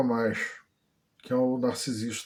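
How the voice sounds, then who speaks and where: The speaker is a man at a moderate pace. His voice sits at a medium pitch. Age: 60s. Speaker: vlogger. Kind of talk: personal testimony. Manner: halting, many fillers.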